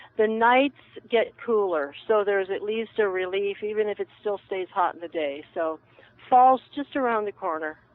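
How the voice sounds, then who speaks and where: With ordinary pitch variation, a plain, everyday voice talks at a moderate speed. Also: woman, medium pitch for a woman. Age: 60s. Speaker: herbalist. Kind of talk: casual chat.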